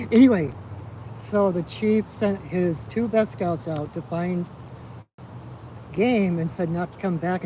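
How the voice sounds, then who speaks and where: In a Minnesotan accent, a high-pitched man speaks at a fairly slow pace with lively intonation and long, frequent pauses. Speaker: shaman. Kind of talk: storytelling in a ceremony. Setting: outdoors by a river. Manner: casual.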